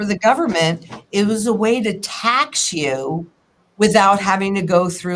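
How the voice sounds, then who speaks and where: A woman with a plain, everyday voice speaks at a moderate pace with lively intonation. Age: 60s. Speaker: financial analyst. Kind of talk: interview. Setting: live stream.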